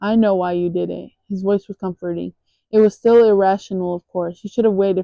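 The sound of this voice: Against a quiet background, an unforced reading voice keeps fairly even intonation.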